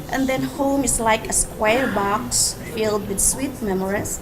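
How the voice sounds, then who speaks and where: A woman with a Filipino accent talks at a fairly slow pace and medium pitch, with noticeable background noise and audible room echo. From Philippines. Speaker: nurse. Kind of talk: personal essay reading.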